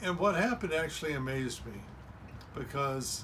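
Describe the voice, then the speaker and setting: The speech moves at a fairly quick pace. Audible room echo and noticeable background noise fill the recording. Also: man. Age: 60s. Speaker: self-help video host. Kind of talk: motivational monologue.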